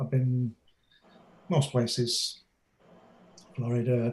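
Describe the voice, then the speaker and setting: In an English accent, a man talks at a fairly slow pace with a medium pitch, a somewhat breathy, dark and mellow tone, and monotone, flat intonation. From Manchester, northern England. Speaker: graphic designer and comic author. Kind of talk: interview.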